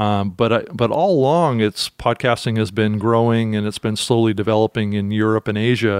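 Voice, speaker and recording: A man speaks in a normal speaking voice, fairly low in pitch, with fairly even intonation at a moderate pace and hardly any pauses. The sound is dry and close with no echo against a quiet background. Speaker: podcast host. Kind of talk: podcast monologue and interview.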